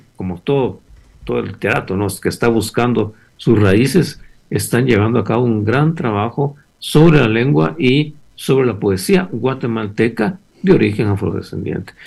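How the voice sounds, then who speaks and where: A man talks at a fairly slow pace with a medium pitch and very wide pitch swings. His voice is somewhat breathy. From Guatemala, Chimaltenango. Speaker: novelist. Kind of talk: interview.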